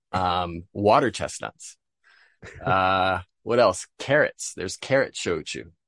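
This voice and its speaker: Against a quiet background, a man with an American accent and a very deep, low pitch speaks very slowly with lively intonation, the sound dry and close with no echo. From US Northeast, Vermont. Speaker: spirits importer and entrepreneur. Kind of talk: interview.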